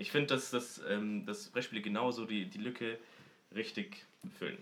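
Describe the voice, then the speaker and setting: His pitch moves through very wide swings. The man keeps a moderate pace. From Munich, Germany. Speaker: podcast co-host. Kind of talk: casual chat.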